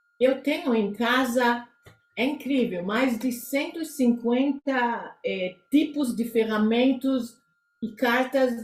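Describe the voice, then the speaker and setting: A woman with a non-native accent speaks at a very slow pace. Her fairly high pitch shows ordinary variation. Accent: foreign accent in Portuguese. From Israel. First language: Hebrew (speaking Portuguese). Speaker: psychotherapist. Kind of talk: interview. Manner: halting.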